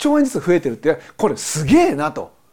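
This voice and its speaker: In a very clean recording with a silent background, a man's dark, mellow voice makes very wide pitch swings. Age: 40s. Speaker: accountant podcast host. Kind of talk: solo commentary podcast.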